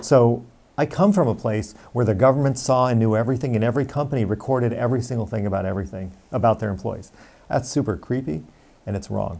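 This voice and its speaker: Dark and mellow in tone, a man talks at a very fast pace with an American accent. His pitch variation is ordinary, with vocal fry. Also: medium pitch for a man. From Romania, then US. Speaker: tech company founder, former HR executive; interviewee. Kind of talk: interview monologue. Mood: earnest, firm on privacy. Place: office. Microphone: lapel.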